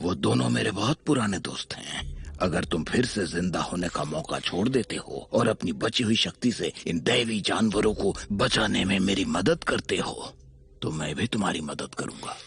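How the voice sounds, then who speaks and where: A man puts on a character voice, pitched fairly low. He talks at a moderate pace with hardly any pauses. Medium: fan dub. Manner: calm, cryptic.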